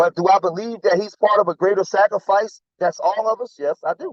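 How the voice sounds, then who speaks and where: The voice is loud. It has a dry, close sound with no echo. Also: man. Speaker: commentator. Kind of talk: heated debate. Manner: animated. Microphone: phone.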